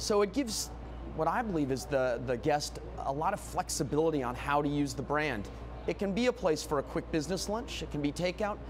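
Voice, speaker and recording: Over music in the background, someone with an American accent speaks at a fairly quick pace. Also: man. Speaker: restaurant chain executive. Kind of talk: interview. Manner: fast; loud.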